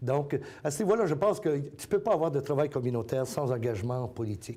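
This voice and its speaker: Very fast speech from a man at medium pitch. His voice is somewhat breathy, with a dark, mellow tone. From Acadia, New Brunswick. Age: 60s. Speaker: community organization president. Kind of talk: interview. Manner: hesitant with many fillers.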